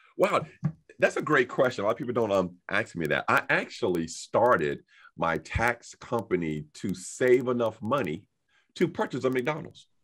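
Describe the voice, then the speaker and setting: A man's medium-pitched voice with an American accent and vocal fry, moderate in pace, with very wide pitch swings, on a very clean recording with a silent background. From North Carolina, Henderson. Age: 50s. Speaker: accountant and tax business owner. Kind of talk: interview. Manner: hesitant, many fillers.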